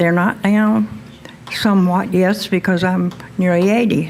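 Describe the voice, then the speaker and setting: Fairly even intonation from a woman at a medium pitch, noticeable background noise behind her. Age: 70s. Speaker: patient. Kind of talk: testimony.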